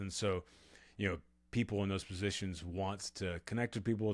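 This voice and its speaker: A man with an American accent and an unremarkable speaking voice talks at a fairly quick pace with fairly even intonation, in a very clean recording with a silent background. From Texas, Austin. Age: 40s. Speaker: author and podcaster. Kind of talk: interview conversation.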